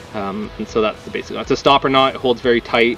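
A man speaks with fairly even intonation. The sound is dry with no echo, over light background noise. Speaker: workshop instructor. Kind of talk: tutorial. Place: open country.

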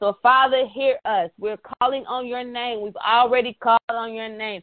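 Against a quiet background, a woman speaks in an animated tone at a moderate pace with a fairly high pitch, the sound dry with no echo. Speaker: prayer call leader. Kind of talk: prayer call; fervent prayer, repetitive and rhythmic. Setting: phone conference call. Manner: fervent, impassioned, building in cadence with repeated phrases; animated, preacher-like. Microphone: phone line.

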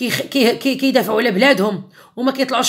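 A woman speaks at a high pitch and a moderate pace. The background is quiet. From Morocco. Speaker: YouTuber. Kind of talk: angry rant video. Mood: angry, defiant. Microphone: phone near.

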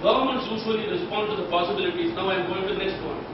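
A man speaks in a room with strong echo and noticeable background noise. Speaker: guest lecturer. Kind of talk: lecture. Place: hall.

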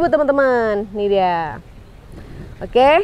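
A woman speaks at a fairly slow pace with lively intonation. The sound is dry, with no echo. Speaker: online shop admin and sales presenter. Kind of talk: sales pitch, product showcase. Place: garden.

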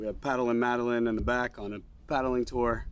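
Against light background noise, a man talks at a moderate pace. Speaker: outdoor cooking vlogger. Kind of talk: casual vlog chat. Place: garden.

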